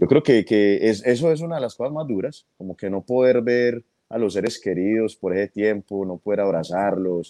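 Dry and close with no echo, a man's dark, mellow voice shows ordinary pitch variation. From Colombian, raised in New York City. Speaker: comedian. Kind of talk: interview. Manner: repeats words, halting.

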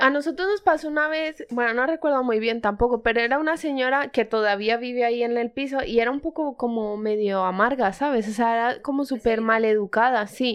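Talking in a Colombian accent, a woman with a high pitch moves at a fairly quick pace with hardly any pauses. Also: ordinary pitch variation. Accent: noticeable Colombian. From Colombia, in Spain since age 7. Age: 20s. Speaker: podcast co-host. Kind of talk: casual chat.

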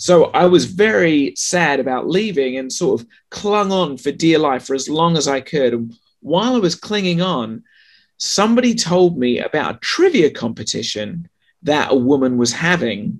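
Against a quiet background, a man with a slight English accent talks at a moderate pace. His fairly high pitch moves in very wide swings. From England. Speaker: sex writer and author. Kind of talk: casual interview chat.

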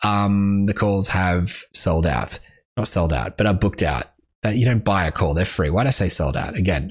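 Pitched very deep and low with vocal fry, a man's voice shows ordinary pitch variation and very even loudness. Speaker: music industry podcast host. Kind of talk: solo podcast monologue. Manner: fast; animated.

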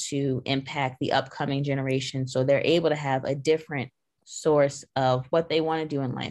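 A woman's very deep, low voice with an American accent and flat, monotone intonation, against a quiet background. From Long Island, New York. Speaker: business owner and manager. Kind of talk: interview.

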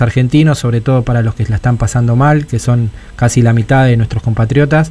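Fairly quick in pace, this man has a plain, everyday voice and ordinary pitch variation. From Buenos Aires western suburbs, Argentina. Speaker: radio host. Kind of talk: radio interview. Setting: radio studio.

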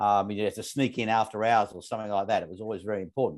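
Against a quiet background, a man speaks with an Australian accent. His pitch sits fairly low. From Australia, northern suburbs of Melbourne. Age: 50s. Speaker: company CEO. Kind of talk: interview.

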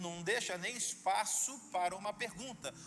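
A man with a Brazilian accent at a moderate pace against noticeable background noise. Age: young. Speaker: pastor. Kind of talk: sermon. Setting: church. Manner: animated.

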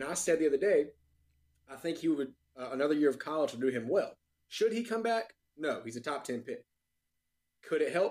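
An American-accented man talks at a fairly quick pace in a fairly high pitch, his lively intonation broken by long, frequent pauses. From North Carolina. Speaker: podcast co-host. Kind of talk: casual chat.

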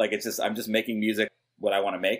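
Speaking very fast in an American accent, a man is heard on a very clean recording against a silent background. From New York. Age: 40s. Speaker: hip hop producer. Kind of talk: casual interview.

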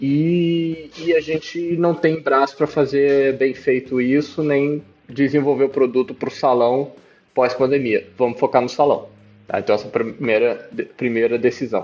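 A man with a fairly high pitch and ordinary pitch variation talks at a moderate pace in a plain, everyday voice. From Brazil (moved around several regions, born in Peru). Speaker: startup CEO. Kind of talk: interview.

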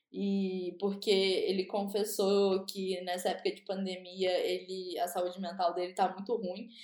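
Dark and mellow in tone, a woman at a medium pitch speaks at a very slow pace. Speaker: podcast co-host. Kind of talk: casual chat.

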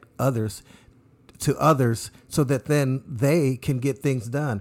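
A man speaks at a moderate pace and medium pitch in a warm, upbeat yet dark, mellow tone, with ordinary pitch variation, on a very clean recording with a silent background. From San Francisco Bay Area. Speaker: political candidate. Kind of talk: radio interview. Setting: radio studio.

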